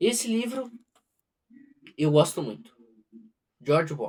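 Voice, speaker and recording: A man speaks with a strong southern Brazilian accent. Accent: heavy southern Brazilian. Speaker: book reader, channel owner. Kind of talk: casual talk to camera; reading aloud. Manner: halting, self-correcting.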